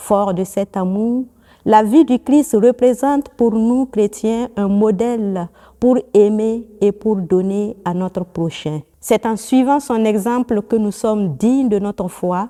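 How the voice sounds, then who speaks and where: A woman's fairly high voice, very slow, with a dark, mellow tone, ordinary pitch variation, and a dry, close sound with no echo. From Burkina Faso. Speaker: nun. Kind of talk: religious teaching. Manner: formal.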